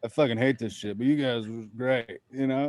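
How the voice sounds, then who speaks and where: A man mumbling at a medium pitch, with monotone, flat intonation and noticeable background noise. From Vermont. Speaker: comedian. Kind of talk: casual chat.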